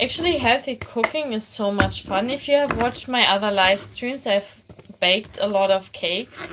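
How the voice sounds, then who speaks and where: A woman with a German accent, fairly high-pitched, with ordinary pitch variation over noticeable background noise. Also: moderate pace. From Germany. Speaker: armwrestler and streamer. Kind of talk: live-streamed cooking tutorial. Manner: casual, chatty.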